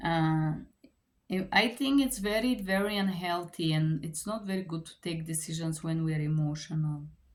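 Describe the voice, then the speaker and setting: A woman's somewhat breathy, fairly low voice with a Bulgarian accent, at a moderate pace with ordinary pitch variation and big swings in loudness. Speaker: book reviewer. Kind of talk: book review. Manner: halting.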